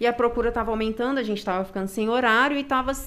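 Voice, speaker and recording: A woman talks at a very fast pace in a Minas Gerais accent, her voice high with ordinary pitch variation. Noticeable background noise runs underneath. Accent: Minas Gerais accent, kept. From Brazil, Minas Gerais. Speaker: CrossFit gym owner and coach. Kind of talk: casual chat.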